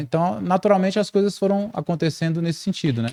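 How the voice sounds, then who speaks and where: A man speaks in a dark, mellow tone. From Brazil, Brasília (Federal District). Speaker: musician and audio/acoustics specialist. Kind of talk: interview podcast conversation.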